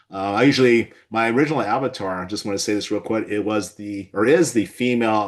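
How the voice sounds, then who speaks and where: In a Californian accent, a man with a fairly low pitch speaks at a fairly quick pace with ordinary pitch variation against a quiet background. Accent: General American (Californian). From Southern California. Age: 60s. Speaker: physician and webinar host. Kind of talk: webinar discussion.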